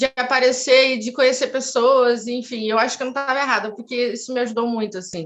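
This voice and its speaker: This woman has a high voice and talks fairly quickly with hardly any pauses. Her intonation stays fairly even. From southern Brazil, Porto Alegre. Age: 30s. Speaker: beauty pageant winner and cultural center founder. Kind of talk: interview.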